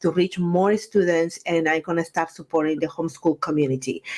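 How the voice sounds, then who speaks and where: A woman with a Guatemalan accent is heard in a very clean recording with a silent background. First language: Spanish. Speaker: Spanish teacher and education business owner. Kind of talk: casual interview conversation. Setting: recorded video conversation.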